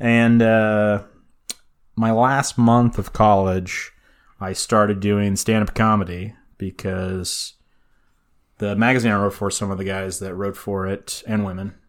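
Slow-paced and monotone, a man with an American accent speaks at a fairly low pitch with long, frequent pauses, on a very clean recording with a silent background. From California. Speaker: podcast co-host.

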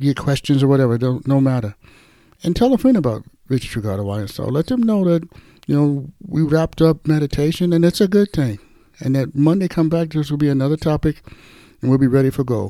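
On a very clean recording with a silent background, a man with an ordinary speaking voice and fairly high pitch talks at a fairly quick pace. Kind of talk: sermon-style Bible teaching with a short group prayer. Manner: conversational, earnest, warmly exhorting.

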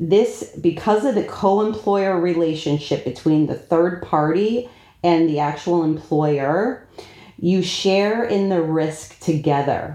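Moving at a very slow pace, the speaker has a dark, mellow tone. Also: woman, fairly low pitch for a woman, ordinary pitch variation. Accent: American. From South Florida. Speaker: payroll and HR executive. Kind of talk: interview.

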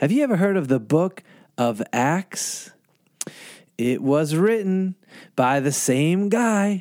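A man speaks very slowly with a high pitch, very wide pitch swings, and long, frequent pauses. His loudness stays very even, and the sound is dry and close with no echo. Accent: American. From Boston, Massachusetts. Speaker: pastor. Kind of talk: bedtime story for children. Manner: animated.

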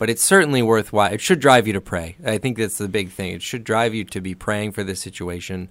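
An ordinary speaking voice from a man, fairly low-pitched and fairly quick, with hardly any pauses, ordinary pitch variation and a very clean recording over a silent background. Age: 30s. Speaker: church staff podcast host. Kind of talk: casual chat. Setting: studio.

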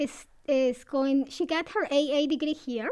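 Speaking at a very slow pace, a woman with a Latin American accent uses a high pitch. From Ecuador. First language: Spanish. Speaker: assistant registrar. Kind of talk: interview.

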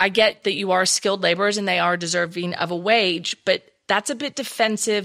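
The voice moves at a fairly quick pace with ordinary pitch variation and a bright, sharp tone. The recording is very clean, with a silent background. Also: woman. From Texas. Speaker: social media trainer and speaker. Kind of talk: interview, expert talk.

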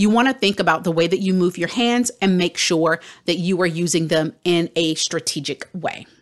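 A woman's fairly low-pitched, unremarkable speaking voice, with moderate pace, ordinary pitch variation and very even loudness. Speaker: career coach podcast host. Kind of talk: educational podcast monologue. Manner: friendly, upbeat.

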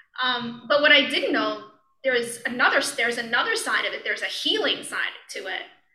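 Audible room echo surrounds this high-pitched woman's voice. She speaks at a moderate pace. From Brooklyn, New York. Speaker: yoga and meditation teacher. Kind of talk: casual interview. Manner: halting, many fillers and restarts.

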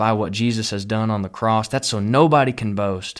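With an animated tone and a Texan accent, a man speaks at a medium pitch in a very clean recording with a silent background. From Texas. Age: 20s. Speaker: pastor. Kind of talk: sermon-style podcast monologue. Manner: earnest, animated.

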